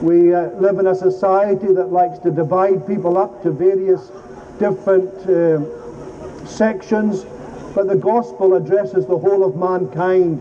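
Noticeable background noise surrounds a man speaking at a fairly slow pace. His high voice shows ordinary pitch variation and very even loudness. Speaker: street preacher. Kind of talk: open-air street sermon, earnest gospel appeal. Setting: outdoors on a city street. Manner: urgent, exhorting, direct.

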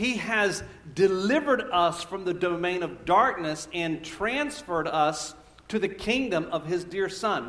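Amid noticeable background noise and audible room echo, a man speaks at a moderate pace with a high pitch. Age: 50s. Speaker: pastor. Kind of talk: sermon. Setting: church. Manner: halting.

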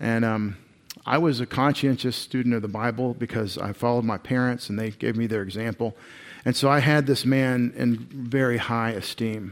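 This man talks with a Texan accent at a medium pitch, keeping a moderate pace and fairly even intonation. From East Texas. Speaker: pastor. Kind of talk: sermon.

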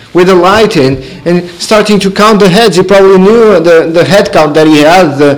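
The voice reads in an unforced way, its pitch varying in an ordinary manner.

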